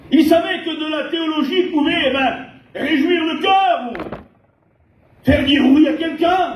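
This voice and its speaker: In a room with audible echo, a man speaks loudly at an extremely high pitch, his intonation fairly even and broken by long, frequent pauses. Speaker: pastor. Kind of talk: sermon.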